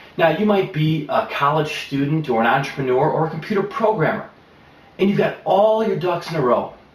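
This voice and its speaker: A man's high-pitched voice with lively intonation, at a fairly quick pace over noticeable background noise. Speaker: professional presenter and pitchman. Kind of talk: promotional pitch to camera. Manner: confident, polished, persuasive.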